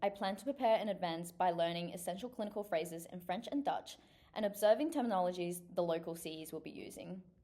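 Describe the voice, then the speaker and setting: A woman's dark, mellow voice at a very fast pace, with lively intonation. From China, then New Zealand from age 10. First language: Chinese. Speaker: physiotherapy student. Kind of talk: scripted application video. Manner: formal.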